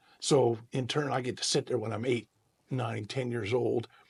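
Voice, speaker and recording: A man with an American accent, medium-pitched and monotone with flat intonation, some vocal fry, and a moderate pace. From Central California (Merced). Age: 60s. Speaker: guitarist and singer-songwriter. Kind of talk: interview. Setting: podcast.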